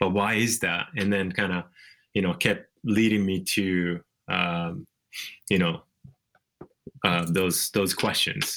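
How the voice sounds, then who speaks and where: In a Japanese accent, a man speaks at a very slow pace with long, frequent pauses, his very deep, low voice bright and sharp in tone, with very even loudness and fairly even intonation. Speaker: author. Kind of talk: interview. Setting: video call.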